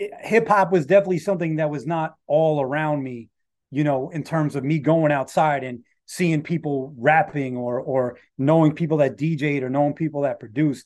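A man with a New York accent, fairly high pitch, ordinary pitch variation and a moderate pace. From New York City, Rockaway Beach, Queens. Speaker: rapper. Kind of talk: interview conversation. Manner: halting.

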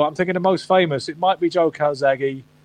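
A man talking at a very fast pace. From England, Gloucestershire (Stroud, Cotswolds). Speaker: boxing trainer and media personality. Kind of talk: casual interview.

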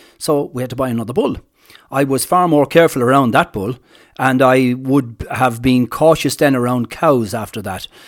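A man speaks with an Irish accent. His pitch variation is ordinary. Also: medium pitch for a man, moderate pace. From Ireland, County Kilkenny. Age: 60s. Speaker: farmer. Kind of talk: interview. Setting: on location at farm. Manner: hesitant, many fillers.

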